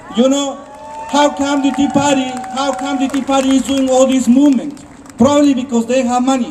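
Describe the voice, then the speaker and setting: Crowd noise fills the background as a man talks at a fairly quick pace. His pitch is extremely high, with monotone, flat intonation. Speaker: immigrant rights activist. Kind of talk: rally speech. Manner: halting.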